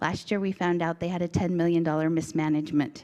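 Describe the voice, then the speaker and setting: The woman's fairly low voice has a dark, mellow tone and monotone, flat intonation. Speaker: state school board member and candidate. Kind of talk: candidate speech at community forum. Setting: community forum with audience. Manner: fast.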